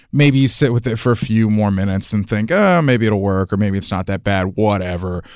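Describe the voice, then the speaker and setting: A man with a plain, everyday voice talks at a fairly quick pace with hardly any pauses. His fairly low pitch shows ordinary variation, with an American accent. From Florida. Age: 20s. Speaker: college football writer. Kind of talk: casual chat.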